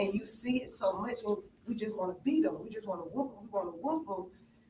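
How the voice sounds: Audible room echo surrounds a woman speaking at a medium pitch and moderate pace with lively intonation.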